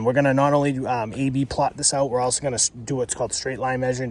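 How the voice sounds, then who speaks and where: At a very fast pace, a man talks with medium pitch and fairly even intonation. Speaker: pool service business owner. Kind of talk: on-site tutorial. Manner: casual, filler-heavy.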